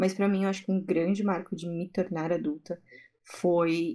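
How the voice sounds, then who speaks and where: Woman's fairly low-pitched voice with a dark, mellow tone, monotone, flat intonation, and a moderate pace. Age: 20s. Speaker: fashion designer. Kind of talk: casual chat.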